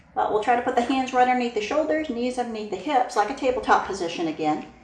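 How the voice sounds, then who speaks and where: Over noticeable background noise, a woman talks very fast at a high pitch. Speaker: yoga teacher. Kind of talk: guided yoga class instruction. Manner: calm, instructive.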